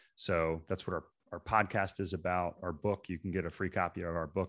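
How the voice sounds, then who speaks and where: Against a quiet background, a man with a very deep, low voice talks at a fairly quick pace in a monotone, flat intonation. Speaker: real estate investor. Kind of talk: casual chat.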